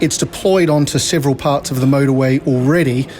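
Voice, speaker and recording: Noticeable background noise accompanies a man talking at a fairly quick pace, with a fairly high pitch and ordinary pitch variation. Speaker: technology company director. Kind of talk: interview. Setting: conference venue.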